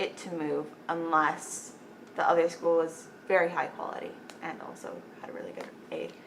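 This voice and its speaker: A woman speaks at an even, moderate rate while noticeable noise runs in the background. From Las Cruces, New Mexico. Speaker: college senior, future medical student. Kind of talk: interview answer.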